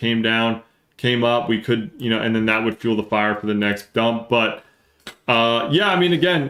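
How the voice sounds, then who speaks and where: A man with an American accent, medium pitch, and a moderate pace. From New Jersey. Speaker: crypto market streamer.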